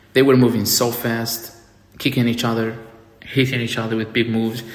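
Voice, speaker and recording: With noticeable background noise and audible room echo, a man speaks at medium pitch and a moderate pace in a monotone, flat intonation. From outside the US. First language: not English. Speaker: wrestling reviewer. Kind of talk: casual review monologue. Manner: halting, repeats words. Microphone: poor audio, mic charger broken.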